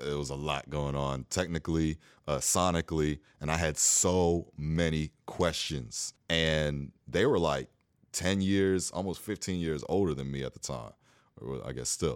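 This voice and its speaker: A man's very deep, low voice with ordinary pitch variation, dry and close with no echo, on a very clean recording with a silent background. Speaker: a cappella singer and arranger. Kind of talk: casual interview chat.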